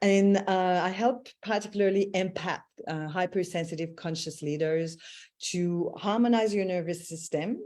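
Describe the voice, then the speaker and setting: A woman with a Quebec accent, medium in pitch, with a dark, mellow tone, ordinary pitch variation and a fairly slow pace against a quiet background. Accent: Quebec French accent, kept. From Quebec, Canada (Montreal). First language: French. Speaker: intuitive mentor and voice healer. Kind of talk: casual live-stream chat.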